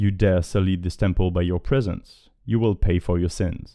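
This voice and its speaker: A man puts on a robotic character voice with a very deep, low pitch. He delivers it at a moderate pace. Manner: menacing, threatening.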